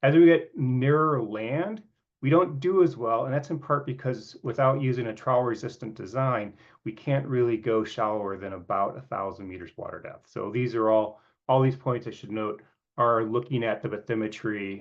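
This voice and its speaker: A man speaks with ordinary pitch variation. His loudness swings widely. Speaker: geophysics researcher. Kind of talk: scientific presentation. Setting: video call. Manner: fast; halting, many fillers.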